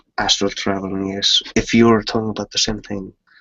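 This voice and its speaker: In a non-native accent, a man speaks with a monotone, flat intonation. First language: not English. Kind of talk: casual chat. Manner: halting.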